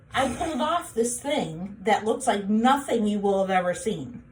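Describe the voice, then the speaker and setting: There is audible room echo as a woman speaks at a moderate pace. Her medium pitch moves in very wide swings. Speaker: tracheostomy patient sharing home care tips. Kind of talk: tutorial. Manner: casual, plain.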